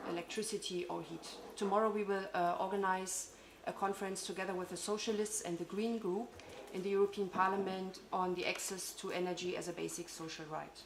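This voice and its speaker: A woman with a German accent speaks at a fairly quick pace in a medium pitch with monotone, flat intonation, amid audible room echo and noticeable background noise. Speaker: parliamentary staff member. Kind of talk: conference speech. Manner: halting.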